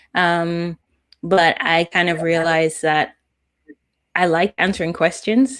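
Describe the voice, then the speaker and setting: A woman with a British accent, fairly low in pitch, with ordinary pitch variation at a moderate pace. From UK. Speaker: data scientist. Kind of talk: interview.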